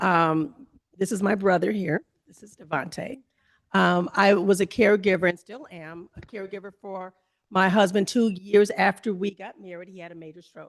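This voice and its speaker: A woman with an ordinary speaking voice, medium pitch, ordinary pitch variation, a moderate pace and big swings in loudness. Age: 60s. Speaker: family caregiver and panelist. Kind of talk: panel discussion.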